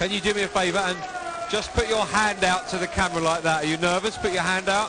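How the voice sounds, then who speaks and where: Over noticeable background noise and audible room echo, a man speaks at a very fast pace in a raised, projected voice, his pitch high and his intonation fairly even. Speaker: sports presenter. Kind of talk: post-match interview and studio chat. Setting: live arena with crowd.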